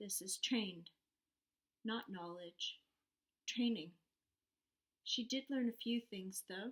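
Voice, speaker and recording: The woman's voice is somewhat breathy and fairly high in pitch. She speaks at a fairly slow pace. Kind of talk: story narration, read aloud.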